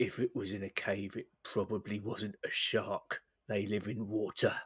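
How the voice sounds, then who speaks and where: Putting on a character voice, a man talks at a moderate pace and fairly low pitch, with a dry, close sound and no echo. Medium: actual play. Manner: serious, deadpan.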